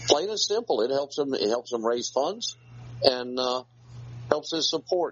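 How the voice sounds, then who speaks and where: A man with a Southern US accent, plus noticeable background noise. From North Carolina. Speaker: co-host.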